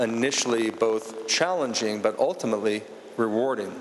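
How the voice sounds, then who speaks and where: A man with an American accent, medium pitch, fairly even intonation and a fairly slow pace, over noticeable background noise. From Washington, DC. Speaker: art collector. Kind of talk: gallery talk. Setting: museum gallery with audience.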